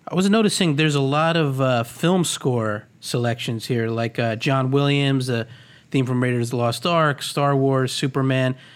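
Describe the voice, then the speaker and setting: Very clean and set against a silent background, the recording has a man with a plain, everyday voice speaking at medium pitch and a moderate pace, his pitch variation ordinary and his loudness very even. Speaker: podcast co-host. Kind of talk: casual chat.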